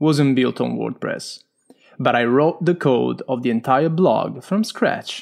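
Speaking at a fairly slow pace with a strong Italian accent, a man keeps a medium pitch and ordinary pitch variation. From Italy. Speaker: blogger, photographer and web developer.

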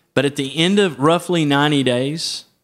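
The recording is very clean with a silent background, carrying a normal speaking voice at a moderate pace with ordinary pitch variation. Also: man. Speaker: organizational leader. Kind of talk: casual chat.

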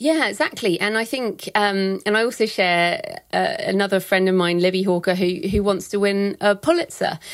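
A woman's unremarkable speaking voice at a medium pitch, with lively intonation, a moderate pace, very even loudness and hardly any pauses. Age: 40s. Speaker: thriller writer and publishing expert. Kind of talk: interview.

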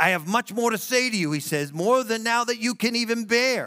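A man speaks at a moderate pace in a bright, sharp, animated, warm tone with lively intonation. The sound is dry and close with no echo, on a very clean recording with a silent background. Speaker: pastor. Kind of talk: sermon. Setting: church. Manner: animated, warm and conversational, building to an earnest altar-call appeal.

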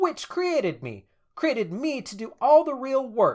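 A man puts on a character voice. His pitch is extremely high, and he keeps a moderate pace. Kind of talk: fairy-tale storytelling. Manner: eager, insistent, plucky.

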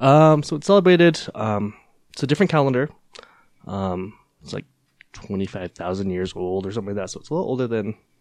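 Someone with a Utah accent talks at a very fast pace with very wide pitch swings. There are long, frequent pauses. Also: man, medium pitch for a man. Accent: American (Utah). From Utah, US. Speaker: Cambodian dance teacher. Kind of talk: casual chat.

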